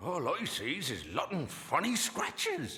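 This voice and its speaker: A man does a cartoonish character voice at a high pitch and a fairly slow pace. Clear background noise can be heard. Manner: folksy, unhurried.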